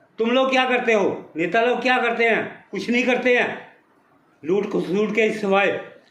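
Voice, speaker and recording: Fairly even male intonation with audible echo from the room. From Punjab, India. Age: 70s. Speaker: retired army veteran. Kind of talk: angry political rant.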